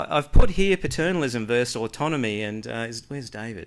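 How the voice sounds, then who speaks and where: A man's voice at a moderate pace, very clean recording, silent background. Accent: Australian. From Australia. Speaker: health researcher. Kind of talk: conference presentation.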